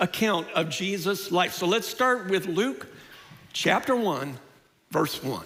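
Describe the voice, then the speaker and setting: A man talks at a high pitch, and audible room echo hangs around his words. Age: 60s. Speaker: pastor. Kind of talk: sermon.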